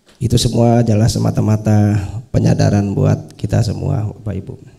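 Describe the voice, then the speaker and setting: Moderate pace from a man, noticeable background noise around him. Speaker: farming trainer assistant. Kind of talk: farewell speech. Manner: loud normally.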